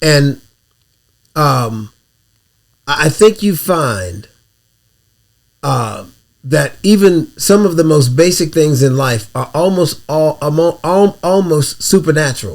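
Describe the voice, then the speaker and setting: A man speaks at a very slow pace with long, frequent pauses. His fairly high voice carries lively intonation. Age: 60s. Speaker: podcast co-host. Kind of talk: casual chat.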